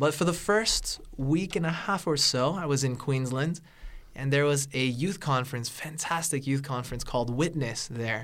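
In an American accent, a man with an ordinary speaking voice and a fairly high pitch talks at a moderate pace. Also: ordinary pitch variation. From Northern California. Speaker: seminary student and preacher. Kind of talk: radio interview.

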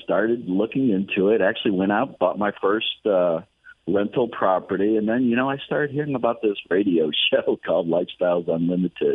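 A man talks at a moderate pace in a normal speaking voice, his pitch fairly low. His pitch varies in an ordinary way and his loudness stays very even. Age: 60s. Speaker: real estate investor and mentor. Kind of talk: radio interview.

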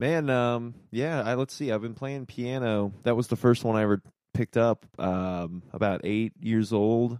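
With an American accent and a plain, everyday voice, a man of medium pitch speaks at a fairly slow pace with ordinary pitch variation in a dry, close sound with no echo. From Virginia, US (Norfolk). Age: 20s. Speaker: jazz pianist. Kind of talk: casual chat.

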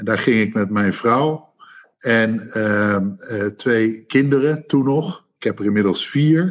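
Speaking at a very slow pace, a man uses a medium pitch with ordinary pitch variation in a very clean recording over a silent background. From Netherlands, Rotterdam. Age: 50s. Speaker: retail executive. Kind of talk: interview. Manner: halting.

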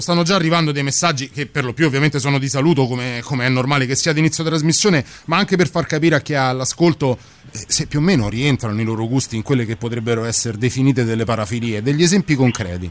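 Over noticeable background noise, a man with a fairly high-pitched voice speaks at a very fast pace. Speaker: radio co-host. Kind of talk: late-night radio chat. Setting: studio.

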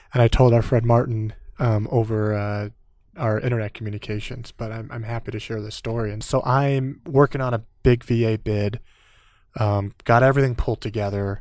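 A man in an American accent with a plain, everyday voice, medium pitch, fairly even intonation, moderate pace and big swings in loudness, on a very clean recording with a silent background. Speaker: Air Force veteran and business owner. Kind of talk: interview.

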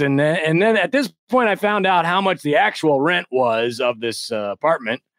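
At a moderate pace, a man speaks. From US Midwest. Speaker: real estate investor. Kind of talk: casual chat. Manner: halting, many fillers and restarts.

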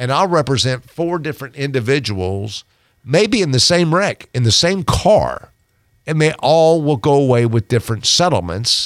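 With an American accent, a man of fairly high pitch speaks at a moderate pace using lively intonation. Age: 60s. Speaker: personal injury lawyer. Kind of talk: radio interview. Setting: radio studio. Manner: hesitant fillers.

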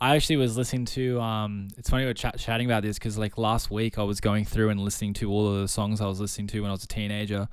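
A man talks very fast in an Australian accent, at a fairly low pitch. His intonation is monotone and flat. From Australia, Sydney. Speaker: music producer and DJ. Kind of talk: casual chat. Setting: video call.

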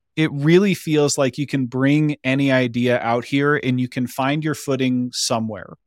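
A man with a plain, everyday voice at a medium pitch, moderate pace, fairly even intonation and hardly any pauses, on a very clean recording with a silent background. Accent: American. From Colorado, Boulder. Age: 30s. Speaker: business consultant and coach. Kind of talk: casual chat.

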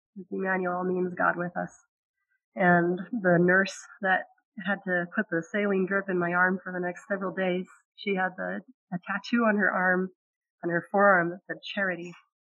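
In a General American accent, a woman of medium pitch speaks at a moderate pace with monotone, flat intonation and long, frequent pauses. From Utah. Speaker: missionary. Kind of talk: testimony.

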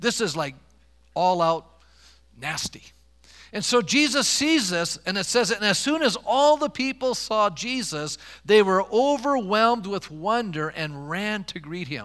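A man's high-pitched voice at a fairly slow pace, with very wide pitch swings. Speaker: pastor. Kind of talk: sermon. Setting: church. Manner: animated, impassioned preacher building momentum; call-and-response, rhetorical questions to congregation.

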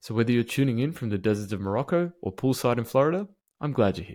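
Speaking at a fairly quick pace with lively intonation, a man with an Australian accent comes through on a very clean recording with a silent background. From Melbourne, Australia. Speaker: podcast host. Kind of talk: interview.

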